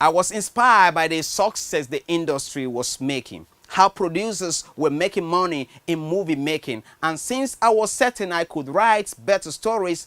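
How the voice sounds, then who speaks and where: A man with a Nigerian accent and a high pitch, lively intonation at a moderate pace, on a very clean recording with a silent background and a dry, close sound with no echo. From Nigeria, Benue State. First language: Nigerian language (not English). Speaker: screenwriter. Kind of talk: personal story narration.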